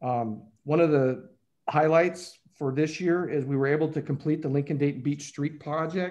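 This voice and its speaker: The delivery moves at a moderate pace in a normal speaking voice. Its intonation is fairly even. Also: man, fairly high pitch for a man. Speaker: city finance official presenting budget. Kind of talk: budget presentation at council meeting.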